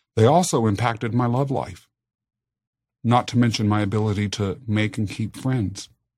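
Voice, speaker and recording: A man with an American accent speaks at a moderate pace and a fairly low pitch, with ordinary pitch variation. His voice is somewhat breathy, and the recording is very clean with a silent background. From Kansas, US. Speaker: podcast host. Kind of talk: scripted podcast intro and personal storytelling.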